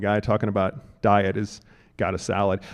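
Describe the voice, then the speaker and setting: A man speaks with an American accent. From US South. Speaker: health seminar presenter. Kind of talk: seminar talk.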